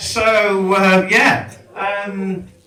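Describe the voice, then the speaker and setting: A man's raised, projected voice at a high pitch, with an English accent and audible room echo. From England. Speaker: comedian. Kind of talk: stand-up. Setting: stage with audience. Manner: animated.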